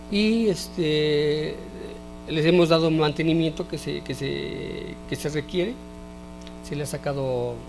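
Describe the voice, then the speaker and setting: A man is speaking. Music plays in the background. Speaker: interview guest. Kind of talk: interview answer. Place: studio. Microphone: handheld.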